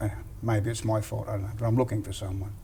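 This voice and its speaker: A man's fairly low, dark and mellow voice, somewhat breathy, with an Australian accent and monotone, flat intonation. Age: 60s. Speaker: boxing coach. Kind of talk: casual interview. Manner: halting.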